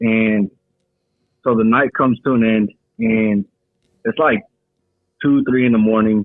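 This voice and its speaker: A man with an American accent, medium pitch, moderate pace, and a monotone, flat intonation. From California. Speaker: caller. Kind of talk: telling a personal story. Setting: phone call. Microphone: muffled phone audio.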